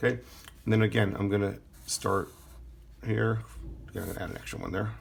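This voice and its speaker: Full of vocal fry, a man's voice moves at a very fast pace. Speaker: art teacher. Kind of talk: tutorial. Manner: casual, hesitant with fillers.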